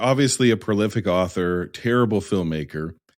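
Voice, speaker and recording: With an American accent, a man with a fairly low voice speaks at a moderate pace on a very clean recording with a silent background. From United States. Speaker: movie podcast host. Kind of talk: casual chat. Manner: animated.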